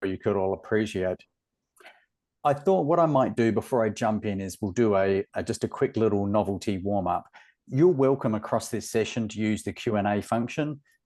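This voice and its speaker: A man speaks in an Australian accent at a moderate pace, his voice fairly low with a dark, mellow tone. His pitch varies in an ordinary way, and the background is quiet. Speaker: webinar moderator. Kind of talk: webinar presentation. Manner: animated.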